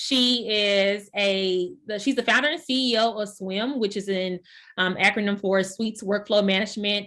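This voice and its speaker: A woman with a Texan accent, a bright, sharp tone, ordinary pitch variation, and a moderate pace over a quiet background. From Texas. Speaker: workshop host. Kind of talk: introduction. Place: home room. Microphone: video call.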